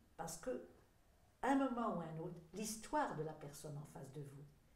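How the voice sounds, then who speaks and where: A woman with a fairly low, somewhat breathy voice swings her pitch very widely, and the room echo is audible. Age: 70s. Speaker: sophrology therapist and school director. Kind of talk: interview. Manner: halting, with many hesitations.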